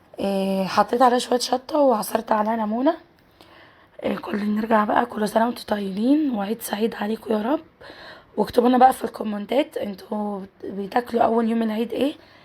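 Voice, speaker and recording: Noticeable background noise behind a woman's fairly high-pitched voice, with ordinary pitch variation at a moderate pace. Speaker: cooking channel host. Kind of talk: cooking tutorial.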